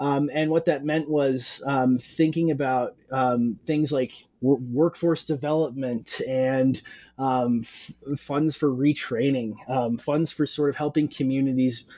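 Speaking very slowly with an American accent, a man has a fairly high pitch, fairly even intonation and very even loudness. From Western Montana. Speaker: author and academic. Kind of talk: interview. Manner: halting, many fillers.

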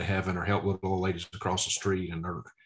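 Over a quiet background, a man speaks with a Southern US accent at a very deep, low pitch. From Mississippi. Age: 40s. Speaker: preacher. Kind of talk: testimony.

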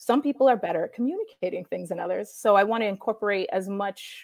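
Her medium-pitched voice moves at a fairly quick pace with ordinary pitch variation, heard with a dry, close sound with no echo. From New York City. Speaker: comic book writer. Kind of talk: casual remote interview chat. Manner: fast talker.

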